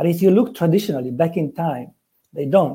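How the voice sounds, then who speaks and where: A man speaks with a Romanian accent and a dark, mellow tone. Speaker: forex trader. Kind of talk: podcast interview.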